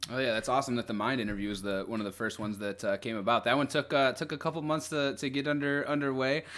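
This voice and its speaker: Talking at a very fast pace with hardly any pauses, a man of medium pitch speaks with a Midwestern American accent and ordinary pitch variation. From Northwest Indiana. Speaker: interview host. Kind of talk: interview. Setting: live stream.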